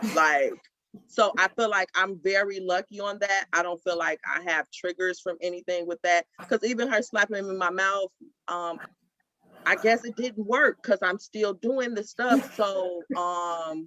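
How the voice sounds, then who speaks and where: Speaking at a fairly slow pace, a woman has a medium pitch and ordinary pitch variation. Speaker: panelist, mother. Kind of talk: panel discussion. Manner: loud; animated.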